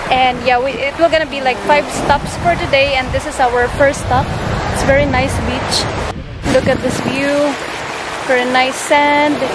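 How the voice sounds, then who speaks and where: A woman at a moderate pace with long, frequent pauses, dry sound without echo, and loud background noise. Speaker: travel vlogger. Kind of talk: casual vlog chat. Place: beach. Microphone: phone near.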